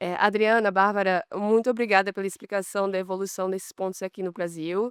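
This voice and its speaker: Monotone, flat intonation from a woman at medium pitch, fairly quick in pace, dry and close with no echo against a quiet background. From Brazilian, raised abroad. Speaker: competition lawyer, panelist. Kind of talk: conference panel talk. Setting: conference stage with audience.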